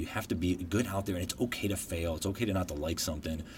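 A man talks in a very deep, low, somewhat breathy voice. His pitch varies in an ordinary way. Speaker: podcast host, guest. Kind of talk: casual interview.

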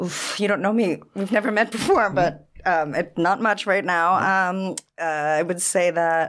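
A woman with an unremarkable speaking voice, ordinary pitch variation and a fairly slow pace. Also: medium pitch for a woman. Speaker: wine professional and teacher. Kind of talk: casual chat.

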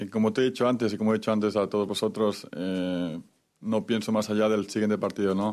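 Fairly low in pitch, a man speaks at a fairly quick pace in a monotone, flat intonation on a very clean recording with a silent background. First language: Spanish (speaking French). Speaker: football goalkeeper. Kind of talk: press conference.

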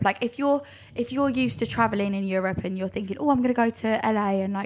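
A fast-paced woman's voice, fairly high and croaky, slightly mellow in tone with ordinary pitch variation.

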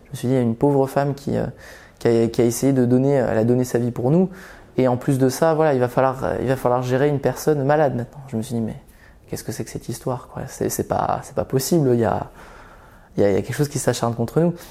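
A man's medium-pitched, dark and mellow voice, very fast, with fairly even intonation. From Belgium, then Vendée (rural western France) from about age ten. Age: 20s. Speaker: psychologist telling his life story. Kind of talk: personal testimony. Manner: halting, many repetitions.

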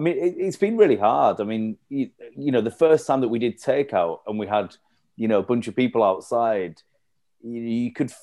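Speaking with a Yorkshire accent, a man with a medium pitch uses lively intonation at a moderate pace. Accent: Yorkshire (Leeds). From northern England, East Leeds. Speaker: cafe and venue co-founder. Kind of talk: casual chat.

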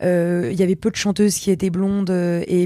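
On a very clean recording with a silent background, a woman speaks at a moderate pace and medium pitch in a dark, mellow tone. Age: 20s. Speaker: singer, youtuber and comedian. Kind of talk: casual chat.

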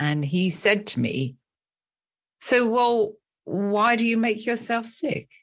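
Speaking with a British accent against a quiet background, a woman makes very wide pitch swings. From England. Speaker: therapist and author.

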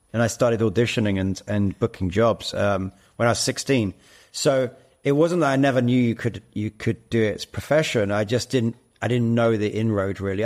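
Here a man speaks in a southern English accent at a fairly quick pace. His pitch varies in an ordinary way, and the recording is very clean with a silent background. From London, England. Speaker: actor and platform co-founder. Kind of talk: interview conversation.

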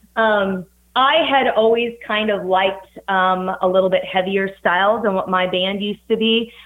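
A woman speaks at a moderate pace with fairly even intonation. Her pitch sits in the middle range. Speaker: metal band vocalist. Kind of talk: casual interview chat. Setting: remote call.

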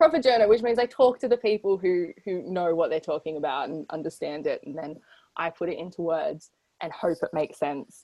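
A woman with an Australian accent speaks at a fairly low pitch in a dark, mellow tone, at a fairly quick pace. Her lively intonation and big swings in loudness come through a dry, close sound with no echo. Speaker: sports journalist and co-host. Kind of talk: casual chat. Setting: video call.

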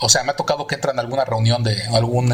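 Amid noticeable background noise, a man with a medium pitch talks at a very fast pace. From Mexico City. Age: 40s. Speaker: visual effects artist. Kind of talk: interview.

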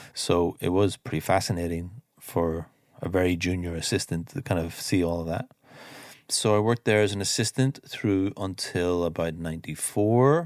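On a very clean recording with a silent background, a man with an Irish accent speaks at a very deep, low pitch. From Ireland. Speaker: mix engineer. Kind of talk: interview.

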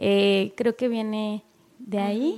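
A woman of medium pitch uses an ordinary speaking voice with fairly even intonation. The recording is very clean, with a silent background. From Mexico, coastal Guerrero. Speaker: poet and editor. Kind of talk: casual interview. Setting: studio booth.

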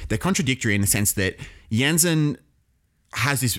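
Intonation rises and falls in a lively way. It comes with an Australian accent. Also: man. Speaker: history podcast co-host. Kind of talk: casual educational chat.

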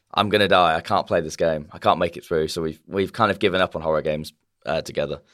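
A man with a very deep, low voice talks at a very fast pace. His intonation is fairly even, and the recording is very clean with a silent background. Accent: British. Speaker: podcast host. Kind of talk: casual chat.

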